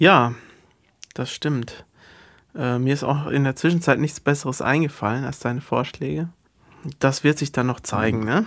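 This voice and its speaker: A moderate pace broken by long, frequent pauses, with ordinary pitch variation, in a very clean recording over a silent background. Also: man, fairly high pitch for a man. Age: 40s. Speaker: guitarist in a band, podcast co-host. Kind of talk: casual chat.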